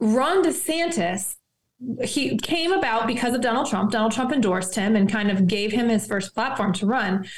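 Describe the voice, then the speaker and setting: Lively intonation runs through a somewhat breathy voice. The pace is moderate and the loudness very even. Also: woman, fairly high pitch for a woman. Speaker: attorney and campaign staffer. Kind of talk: friendly political interview.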